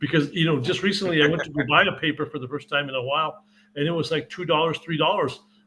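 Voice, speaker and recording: Talking at a very fast pace, a man uses a bright, sharp tone and fairly even intonation. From northern New Mexico (Santa Fe). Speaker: sports journalist. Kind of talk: casual interview.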